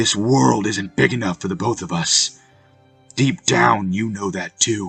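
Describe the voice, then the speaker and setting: A man growls in a put-on character voice at a fairly low pitch and moderate pace. His pitch swings very widely over faint music in the background. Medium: read story. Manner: snarling, mocking.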